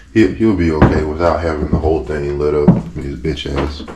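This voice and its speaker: Over noticeable background noise and audible room echo, a man speaks in a very deep, low pitch. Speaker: boat refit vlogger. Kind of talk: casual work vlog. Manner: slow.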